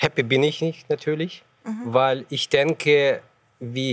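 A man talks very slowly, his sound dry and close with no echo. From Ukraine. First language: Ukrainian or Russian (speaking German). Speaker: ambassador. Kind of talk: panel debate. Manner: halting.

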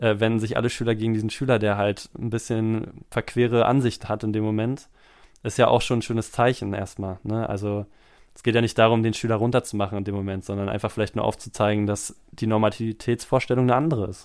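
On a very clean recording with a silent background, a man talks very fast in a flat monotone while his loudness swings widely. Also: medium pitch for a man. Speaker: podcast host, teacher. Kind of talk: casual chat.

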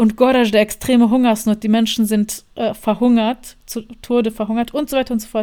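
With a Bosnian accent, a woman speaks at a fairly high pitch with a dark, mellow tone and fairly even intonation. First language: Bosnian (speaking German). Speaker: journalist and filmmaker. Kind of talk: interview.

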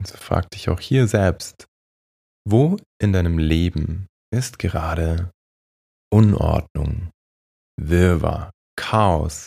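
Very deep and low, a man's somewhat breathy voice carries a calm, gentle, dark and mellow tone with ordinary pitch variation. He talks very slowly with long, frequent pauses and big swings in loudness, in a dry, close sound with no echo. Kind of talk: guided meditation, soothing. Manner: slow, calm, soft-spoken, meditative; long pauses, hushed gentle guidance.

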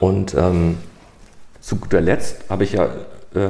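A man's very deep, low-pitched voice at a fairly slow pace, over noticeable background noise. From northern Germany, Hamburg. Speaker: IT project manager. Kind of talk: casual chat.

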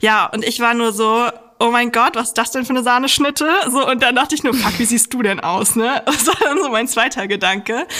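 Talking fairly quickly, a woman speaks at a high pitch over noticeable background noise. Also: ordinary pitch variation. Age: 30s. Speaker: psychologist and science journalist. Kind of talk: casual chat. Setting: video call.

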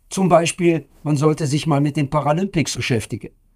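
A man's fairly high voice comes through somewhat breathy. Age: 60s. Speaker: professor. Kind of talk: interview.

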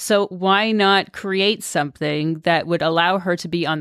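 In a very clean recording with a silent background, a woman with a plain, everyday voice speaks at a moderate pace and a fairly even intonation. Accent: Canadian. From Canada, Toronto suburbs. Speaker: motorcycle traveler, former aid worker. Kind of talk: casual interview. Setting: studio.

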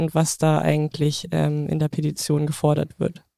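A woman's very deep, low voice with a dark, mellow tone comes through a very clean recording, dry and close with no echo and a silent background. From rural Germany. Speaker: podcast co-host. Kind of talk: casual chat; scripted intro.

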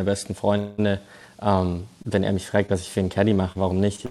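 A man speaks in a flat monotone. His voice sits fairly low. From Germany, Stuttgart. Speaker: golf pro and caddie. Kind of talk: casual interview. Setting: remote call.

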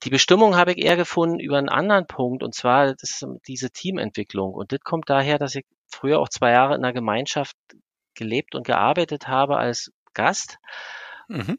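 A man speaks at a fairly high pitch. He leaves long, frequent pauses. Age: 50s. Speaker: owner of an engineering firm. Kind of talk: podcast interview. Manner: hesitant, many fillers.

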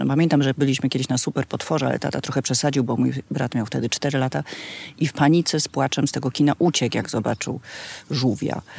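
At a very fast pace, a woman speaks with vocal fry and a very deep, low pitch. The sound is dry and close, with no echo. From Poland, Kraków. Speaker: festival organizer, daughter of a singer. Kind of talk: casual chat. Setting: outdoors in a garden.

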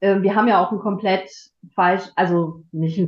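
Her pitch is medium and varies in an ordinary way as the woman speaks. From Germany, Frankfurt. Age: 50s. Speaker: podcast guest. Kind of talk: casual chat. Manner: halting.

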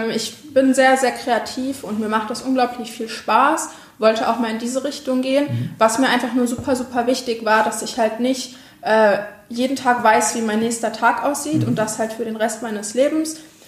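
Amid audible room echo and noticeable background noise, a woman speaks at a moderate pace in a high voice with fairly even intonation. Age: 20s. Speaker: social media agency owner. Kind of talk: interview.

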